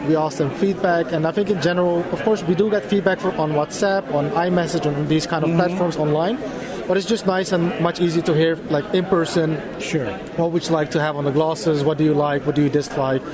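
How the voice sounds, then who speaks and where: Crowd noise fills the background as the voice moves at a fairly quick pace with very even loudness. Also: man, high pitch for a man, ordinary pitch variation. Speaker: assistive tech company representative. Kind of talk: product demo. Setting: conference exhibit hall.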